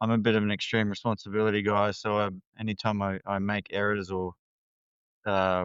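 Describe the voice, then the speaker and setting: A fairly low-pitched man in an Australian accent, fairly quick, with monotone, flat intonation. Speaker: counselor. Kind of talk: interview conversation. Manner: hesitant, many fillers.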